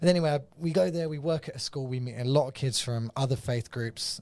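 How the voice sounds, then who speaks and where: A man with an English accent, medium pitch, ordinary pitch variation and a somewhat breathy voice at a fairly quick pace, in a very clean recording with a silent background. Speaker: evangelist. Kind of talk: casual chat.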